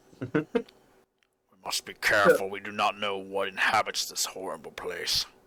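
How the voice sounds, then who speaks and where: Raspy and fairly low-pitched, the voice is a man's put-on character. He performs it throughout. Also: moderate pace. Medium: actual play. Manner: formal, solemn.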